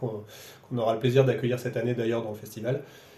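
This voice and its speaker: With a medium pitch and fairly even intonation, this man's voice carries audible room echo. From France, Roanne area. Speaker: violinist and festival director. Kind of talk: radio interview. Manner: halting, many repetitions.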